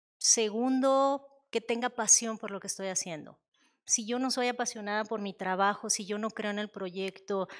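Against a quiet background, a woman talks in a plain, everyday voice at a moderate pace. Her pitch is fairly high and her intonation fairly even. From Mexico. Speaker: technology executive; panelist. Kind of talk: panel discussion at a conference. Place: hall. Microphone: handheld.

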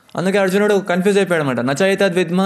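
Over a quiet background, the voice shows ordinary pitch variation. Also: man. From Hyderabad, India; India. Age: 20s. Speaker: Hare Krishna preacher; monk giving a lecture. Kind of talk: lecture. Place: hall. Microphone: studio mic.

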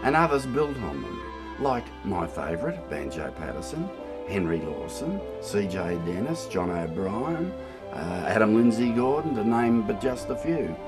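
At a fairly slow pace, a man talks while clear music plays behind him. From Australia. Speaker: bush poetry reciter. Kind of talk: interview answer. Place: garden.

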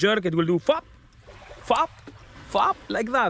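A man's voice in a dry recording with no echo. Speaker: presenter. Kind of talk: product demonstration talk. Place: open country. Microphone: phone near.

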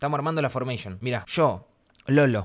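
Fairly quick speech with ordinary pitch variation over a quiet background. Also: man. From Argentina. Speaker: streamer. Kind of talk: casual chat. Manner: animated. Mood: joking, playful. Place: home room. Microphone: studio mic.

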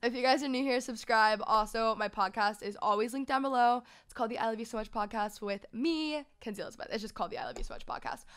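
Against a quiet background, a woman talks at a very fast pace with hardly any pauses and ordinary pitch variation. Her loudness swings widely. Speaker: podcast host. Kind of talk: casual podcast chat. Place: studio. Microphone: studio mic.

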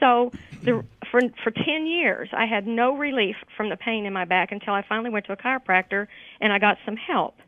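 Ordinary pitch variation at a fairly quick pace. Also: woman. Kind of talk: interview answer. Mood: friendly, grateful. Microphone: phone line.

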